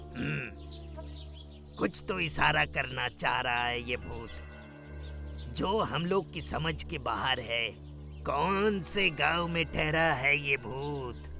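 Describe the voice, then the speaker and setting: A cartoonish character voice speaks at a fairly slow pace with long, frequent pauses. Clear music plays in the background. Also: man, medium pitch for a man. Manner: gruff, commanding, addresses others with blunt familiarity.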